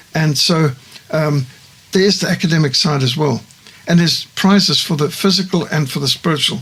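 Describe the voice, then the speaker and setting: Fairly quick speech from a man with a fairly high pitch, over noticeable background noise. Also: ordinary pitch variation. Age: 60s. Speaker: missionary organisation founder. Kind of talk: studio interview. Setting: studio.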